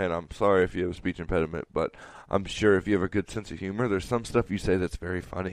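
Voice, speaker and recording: Very deep and low-pitched, a man talks at a very fast pace with a playful tone. His intonation stays fairly even over a quiet background. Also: dry, close sound with no echo. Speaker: podcast co-host. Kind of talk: casual banter. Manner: joking, playful.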